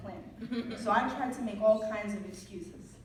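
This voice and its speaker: A voice speaks in a New York accent. Room echo is audible, and background noise is noticeable. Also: woman. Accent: New York American. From New York, Dominican family. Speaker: graduation keynote speaker. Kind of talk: commencement speech.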